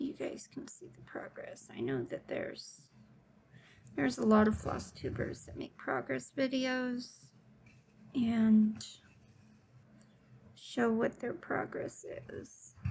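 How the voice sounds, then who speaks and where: The speech is very slow and relaxed, broken by long, frequent pauses. Loudness swings widely throughout. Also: woman. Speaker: cross-stitch video creator. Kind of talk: casual stitch-along chat. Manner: relaxed, meandering.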